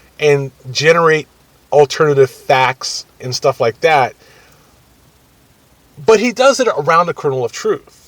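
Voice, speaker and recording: This man's fairly high voice unfolds very slowly. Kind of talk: casual political commentary to camera. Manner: hesitant, rambling.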